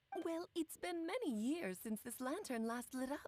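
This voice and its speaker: She speaks at a moderate pace in a put-on character voice, high-pitched and female-sounding. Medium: video game. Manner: theatrical, coy.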